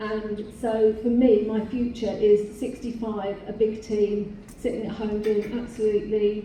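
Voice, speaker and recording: Fairly high-pitched, a woman with an English accent speaks at a fairly slow pace in a monotone, flat intonation. Noticeable background noise and audible room echo surround her. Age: 60s. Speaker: beauty salon owner. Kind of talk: panel discussion.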